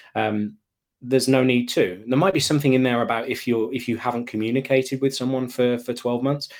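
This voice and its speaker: A man talks at a fairly quick pace in an English accent. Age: 30s. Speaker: email marketing consultant and author. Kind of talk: interview conversation.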